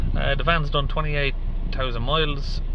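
A man at a moderate pace, in a dry sound with no echo and noticeable background noise. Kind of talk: tutorial. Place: car. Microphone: phone near.

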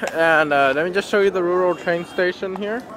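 With ordinary pitch variation, a man talks at a high pitch as noticeable background noise carries on around him. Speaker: travel vlogger. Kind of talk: vlog narration. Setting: on a train. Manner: hesitant, many fillers.

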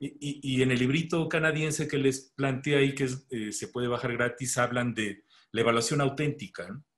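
A man speaks in a Mexican accent at a moderate pace, his pitch medium and his intonation fairly even. His voice is somewhat breathy against a quiet background. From Mexico. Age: 60s. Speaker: pediatrician and medical educator; medical educator. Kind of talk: webinar lecture. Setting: video call. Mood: relaxed, conversational. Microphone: video call.

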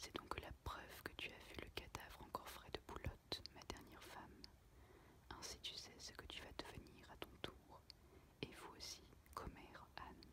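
Someone whispers at a fairly slow pace, with long, frequent pauses. Noticeable background noise sits behind the voice. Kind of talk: read story. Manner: whispered.

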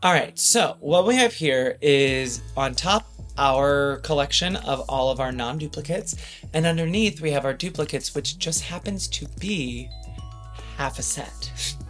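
The speech moves at a fairly slow pace with faint music playing in the background. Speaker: pin collector co-host. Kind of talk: casual vlog chat. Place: home room.

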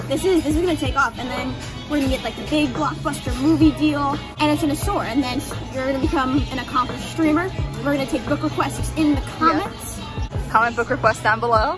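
Very fast speech over clear background music. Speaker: vlogger. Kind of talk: casual vlog chat. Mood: playful joking. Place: cafe. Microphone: phone near.

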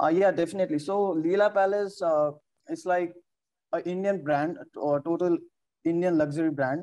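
Over a quiet background, a man speaks in a high voice. His tone is dark and mellow. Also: ordinary pitch variation, moderate pace. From Nepal. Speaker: hotel front office worker; interviewee. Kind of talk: interview. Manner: hesitant, many fillers. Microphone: video call.

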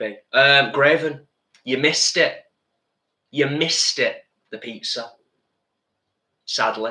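With long, frequent pauses, a man speaks slowly at medium pitch in a bright, sharp tone, with ordinary pitch variation and audible room echo.

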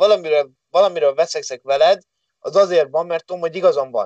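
Speaking at a very fast pace, a man keeps his intonation fairly even. His pitch is high. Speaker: MMA fighter. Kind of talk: casual chat.

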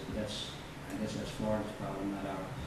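The room echo is clearly audible. Loud background noise fills the recording. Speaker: judge. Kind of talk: court proceeding. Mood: calm, measured, authoritative. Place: hall. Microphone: camera far.

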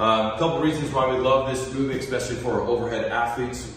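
Strong room echo and light background noise surround a man speaking with ordinary pitch variation. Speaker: strength coach. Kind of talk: tutorial. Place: gym. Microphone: camera far.

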